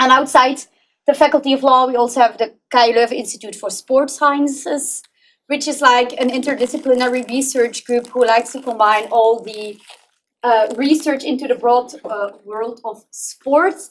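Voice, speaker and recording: A woman with a Flemish accent speaks at a high pitch and a moderate pace. Her loudness rises and falls in big swings. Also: fairly even intonation. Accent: Belgian Dutch (Flemish) accent in English. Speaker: PhD researcher. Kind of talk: conference presentation.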